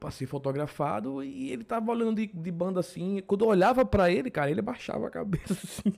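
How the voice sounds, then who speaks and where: The voice races at a very fast pace with lively intonation and hardly any pauses. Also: man, high pitch for a man. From Pernambuco, Brazil (Paulista). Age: 20s. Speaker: podcaster. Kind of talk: casual monologue. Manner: informal slangy.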